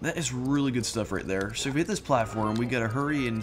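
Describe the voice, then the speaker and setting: A man talks at a very fast pace in a medium pitch, with ordinary pitch variation and music playing in the background. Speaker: let's play gamer. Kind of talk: gameplay commentary. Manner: animated.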